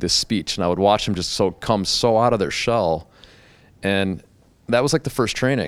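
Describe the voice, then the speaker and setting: On a very clean recording with a silent background, a man with an American accent uses an unremarkable speaking voice, fairly low pitch and lively intonation at a moderate pace. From Chicago area, US (Calumet City, Illinois). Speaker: hairdresser and public speaking coach. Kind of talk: casual interview chat.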